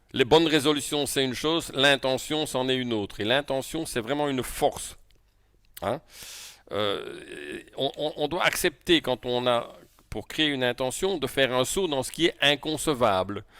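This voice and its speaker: In a Belgian accent, a man with a fairly high pitch and a bright, sharp tone speaks fairly slowly with ordinary pitch variation. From Belgium. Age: 60s. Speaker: coach. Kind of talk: lecture. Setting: video call. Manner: halting.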